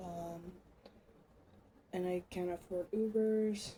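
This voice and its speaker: A woman's fairly low, somewhat breathy voice, dark and mellow in tone, with monotone, flat intonation. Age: 20s. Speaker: vlogger. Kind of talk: personal testimony vlog.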